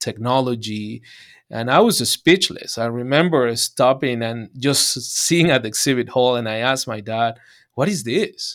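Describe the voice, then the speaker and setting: A man with a Spanish accent talks at a fairly slow pace in a medium pitch, with ordinary pitch variation. The recording is very clean, with a silent background. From Venezuela. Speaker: urologist. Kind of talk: interview.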